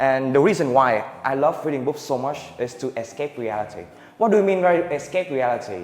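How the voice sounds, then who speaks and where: A man of medium pitch at a fairly quick pace, with lively intonation. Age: young. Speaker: student. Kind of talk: student presentation. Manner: halting.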